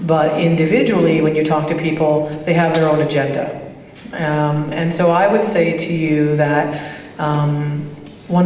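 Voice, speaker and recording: A woman's very deep, low voice with a Canadian accent and monotone, flat intonation, with audible room echo and noticeable background noise. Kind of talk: roundtable discussion.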